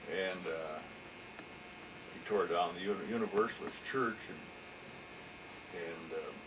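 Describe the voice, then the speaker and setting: Over noticeable background noise and audible room echo, a man with a US Midwestern accent speaks very slowly with long, frequent pauses, using a fairly low pitch and ordinary pitch variation. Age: 60s. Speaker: local business owner. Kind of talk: oral history interview. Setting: office. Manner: halting, many repeated words.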